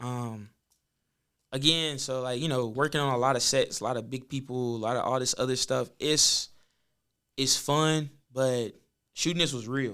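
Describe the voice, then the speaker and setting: Taking long, frequent pauses at a moderate pace, a man with an American accent speaks in a bright, sharp tone. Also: medium pitch for a man, very clean recording, silent background. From US South, Birmingham, Alabama. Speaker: filmmaker. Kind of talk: casual podcast interview. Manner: animated.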